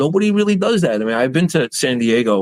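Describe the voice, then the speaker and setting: A man with a New York accent speaks in a fairly high voice, his pitch swinging very widely and his tone animated, recorded dry and close with no echo. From New York City, Queens. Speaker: baker and bakery owner. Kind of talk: podcast interview.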